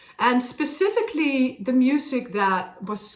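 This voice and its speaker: A woman speaks with a Dutch accent and lively intonation. Noticeable background noise can be heard. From Netherlands. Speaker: opera singer. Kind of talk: casual talk to camera. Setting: at a harpsichord. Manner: halting.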